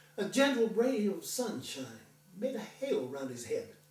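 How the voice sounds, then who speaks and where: This man talks at a fairly slow pace. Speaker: veterinarian. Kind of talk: poetry reading.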